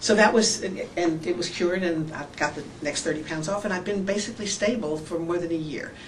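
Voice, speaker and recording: With audible room echo and noticeable background noise, a woman talks at a fairly quick pace with hardly any pauses, using a fairly low pitch and ordinary pitch variation. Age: 60s. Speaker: surgery patient. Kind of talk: testimony. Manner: halting.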